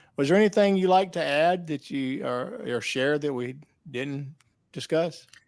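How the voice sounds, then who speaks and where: Lively intonation from a man with a Southern US accent, fairly high in pitch, at a moderate pace. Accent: Southern twang. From US South. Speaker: podcast host. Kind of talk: interview. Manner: halting.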